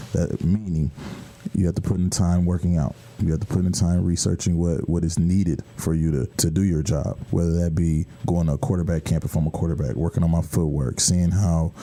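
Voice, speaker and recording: Through noticeable background noise, a man with an American accent and a very deep, low pitch speaks at a fairly quick pace, with very even loudness and fairly even intonation. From US Midwest, Michigan. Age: 20s. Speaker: football quarterback. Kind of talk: radio interview.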